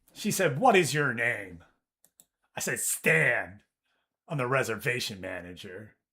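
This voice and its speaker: The loud voice moves at a fairly slow pace with very wide pitch swings and long, frequent pauses, on a very clean recording with a silent background. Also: man, medium pitch for a man. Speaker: video game streamer. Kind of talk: casual chat. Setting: livestream. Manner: animated.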